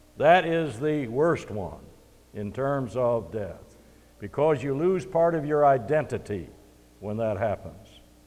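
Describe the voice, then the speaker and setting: A man with a fairly high pitch talks at a fairly slow pace, his intonation lively. Room echo is audible. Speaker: preacher. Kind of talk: sermon. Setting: church.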